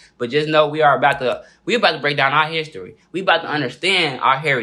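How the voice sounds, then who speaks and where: Speaking with a Southern US accent, a man has a bright, sharp tone. His pitch is fairly high and his pace fairly quick. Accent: country Southern. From US South, Mississippi family. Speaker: YouTube interviewer. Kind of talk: casual vlog outro.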